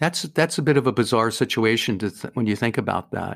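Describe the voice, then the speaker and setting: Here is an ordinary speaking voice from a man at a medium pitch. He keeps a moderate pace with ordinary pitch variation. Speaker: debt adviser. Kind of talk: casual interview chat. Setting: remote call across time zones.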